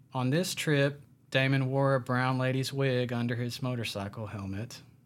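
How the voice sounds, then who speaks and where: This is a man with a normal speaking voice, pitched fairly high. He speaks at a moderate pace. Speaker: podcast host. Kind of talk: true-crime narration. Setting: studio. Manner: steady storytelling, conversational, plain-spoken.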